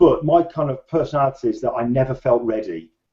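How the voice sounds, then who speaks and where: The speaker talks at a fairly quick pace in a British accent, and the voice is somewhat breathy. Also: man. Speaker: photographer and author. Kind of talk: interview.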